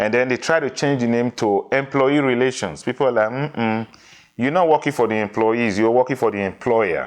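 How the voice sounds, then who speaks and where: At a fairly quick pace, a man with a Nigerian accent speaks with ordinary pitch variation. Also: medium pitch for a man. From Nigeria, Edo (midwestern). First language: Edo. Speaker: diversity consultant. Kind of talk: interview.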